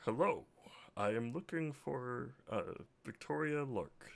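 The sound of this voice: A man speaks in a put-on character voice. He keeps a medium pitch and a fairly slow pace.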